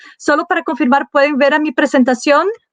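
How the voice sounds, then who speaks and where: With a non-native accent, a woman speaks with ordinary pitch variation in a dry, close sound with no echo. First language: not Spanish (speaking Spanish). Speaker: human rights campaigner. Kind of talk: panel presentation. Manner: halting.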